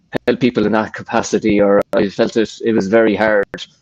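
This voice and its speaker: This man speaks fairly quickly in an Irish accent, his pitch fairly low. The sound is dry and close, with no echo. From Ireland. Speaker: personal trainer. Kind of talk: casual chat. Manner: halting.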